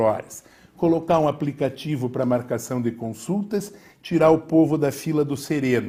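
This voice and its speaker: A man speaks at a moderate pace in a fairly high pitch with a dark, mellow, somewhat breathy tone. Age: 60s. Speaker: mayoral candidate. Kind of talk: political debate. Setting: TV studio.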